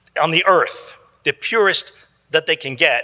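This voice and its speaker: A man speaks in a raised, projected voice. His pitch sits high. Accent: American. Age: 70s. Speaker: psychologist. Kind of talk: conference talk. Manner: casual, repetitive restarts.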